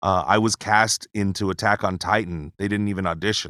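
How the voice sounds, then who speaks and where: A man talks at a fairly quick pace with fairly even intonation and a bright, sharp tone. The sound is dry and close with no echo, in a very clean recording with a silent background. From Hawaii, Pearl City. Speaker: voice actor. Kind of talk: casual interview chat. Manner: halting, repeats words.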